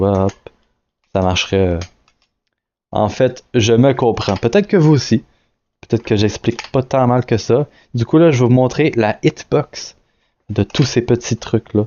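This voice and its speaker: Loudness stays very even as the voice proceeds at a fairly slow pace with ordinary pitch variation and long, frequent pauses. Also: man, medium pitch for a man. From Quebec. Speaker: indie game developer. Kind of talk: devlog screen-recorded tutorial. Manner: hesitant, many fillers and restarts; casual.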